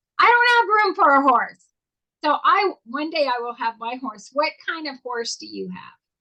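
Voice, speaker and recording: Raised and projected, a woman's high, bright, sharp voice moves at a moderate pace with an animated tone, big swings in loudness and very wide pitch swings. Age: 60s. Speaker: talk show co-host. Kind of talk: casual interview.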